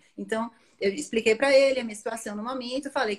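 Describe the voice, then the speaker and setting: A woman's fairly quick, fairly high-pitched delivery in an unremarkable speaking voice. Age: 20s. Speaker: marketing professional and career-change guest. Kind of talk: interview about career change.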